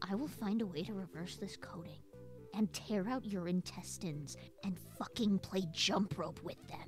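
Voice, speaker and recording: A woman's whiny, put-on character voice at medium pitch and a moderate pace, with clear music in the background. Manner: angry, whiny, profane.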